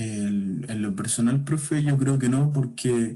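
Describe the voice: At a slow pace, a man speaks with a medium pitch and a dark, mellow tone.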